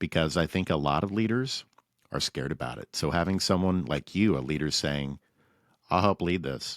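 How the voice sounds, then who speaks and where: On a very clean, dry and close recording with a silent background and no echo, a man with a very deep, low pitch speaks at a moderate pace with lively intonation. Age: 40s. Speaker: podcast host. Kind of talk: interview.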